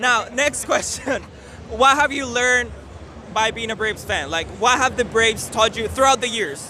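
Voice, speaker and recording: Speaking with a Spanish accent, a man uses a raised, projected voice at an extremely high pitch, with ordinary pitch variation, a moderate pace and noticeable background noise. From Mexico. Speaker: sports channel interviewer. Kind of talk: street interview. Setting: outdoors at a ballpark.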